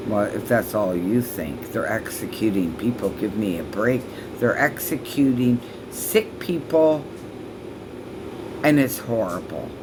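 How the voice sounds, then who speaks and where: With noticeable background noise and audible room echo, a woman speaks at a fairly slow pace using lively intonation and long, frequent pauses. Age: 60s. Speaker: vlogger. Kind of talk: angry rant vlog. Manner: halting.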